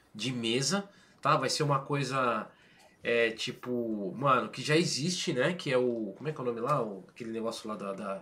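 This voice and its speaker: A man's bright, sharp voice at medium pitch, with ordinary pitch variation and a moderate pace. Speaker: gaming channel host. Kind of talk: casual chat. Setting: live stream.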